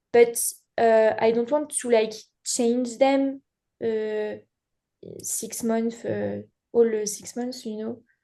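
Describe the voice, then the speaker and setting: Speaking very slowly with long, frequent pauses, a woman with a French accent uses a fairly high pitch, a dark, mellow tone and monotone, flat intonation, while her loudness swings widely. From France. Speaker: beginning live wedding painter. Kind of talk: casual group chat. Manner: halting, many fillers.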